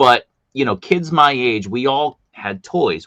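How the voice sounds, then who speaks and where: A man with a Boston accent. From US, Boston. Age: 50s. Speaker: streamer host. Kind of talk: casual interview chat. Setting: live stream.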